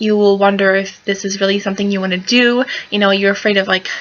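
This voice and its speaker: Over noticeable background noise, a woman mumbles. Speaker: pinup fashion vlogger. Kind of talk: casual tutorial vlog. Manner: mumbling; hesitant, many fillers. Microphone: laptop camera mic, poor quality.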